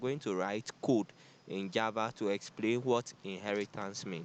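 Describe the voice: At a moderate pace, a man speaks in a fairly low voice with ordinary pitch variation.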